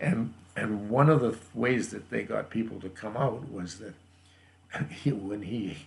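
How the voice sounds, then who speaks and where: A man speaks with a Canadian accent, somewhat breathy and fairly slow. His loudness swings widely. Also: medium pitch for a man, ordinary pitch variation. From Canada, Alberta. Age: 80s+. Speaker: grandfather telling family history. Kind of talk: family oral history interview. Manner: halting, many repeated words and fillers.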